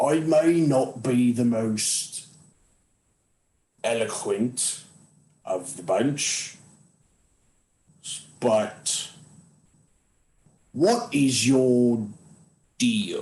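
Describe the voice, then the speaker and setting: A put-on character voice from a man, medium in pitch, at a very slow pace with long, frequent pauses. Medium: actual play. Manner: blunt, plain-spoken.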